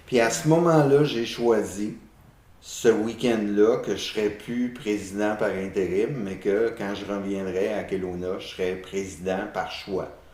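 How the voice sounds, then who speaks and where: Audible room echo surrounds a man talking at a very slow pace in a fairly low pitch, with ordinary pitch variation and big swings in loudness. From Quebec, south of Montreal. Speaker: renovation contractor, community association president. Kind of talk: interview.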